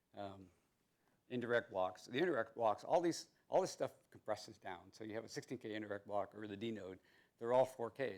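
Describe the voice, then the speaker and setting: Here a man speaks with a fairly low pitch at a fairly quick pace. His pitch varies in an ordinary way. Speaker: software engineer giving conference talk. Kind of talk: conference presentation. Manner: fast; halting, many repetitions.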